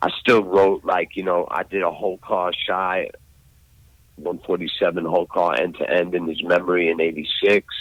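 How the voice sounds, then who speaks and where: The delivery is monotone, with flat intonation, at a moderate pace. The speaker has a New York accent. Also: man, very deep, low pitch for a man. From New York, Brooklyn. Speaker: graffiti artist. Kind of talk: casual chat.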